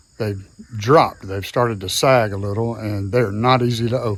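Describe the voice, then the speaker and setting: A man speaks with a Southern US accent at a medium pitch. His pace is fairly slow and his intonation fairly even. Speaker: DIY video host. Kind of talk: casual vlog narration. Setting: outdoors by a barn. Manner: casual, with frequent fillers.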